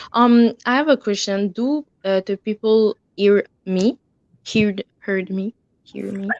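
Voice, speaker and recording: A woman with a non-native accent speaks at a very slow pace and medium pitch, with ordinary pitch variation, in a dry, close sound with no echo. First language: French. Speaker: livestream viewer joining. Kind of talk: casual livestream chat. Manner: halting.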